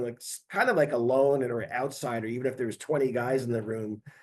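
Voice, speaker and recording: Here a man talks at a medium pitch with ordinary pitch variation. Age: 60s. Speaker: heavy metal guitarist. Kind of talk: podcast interview. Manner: halting, many fillers.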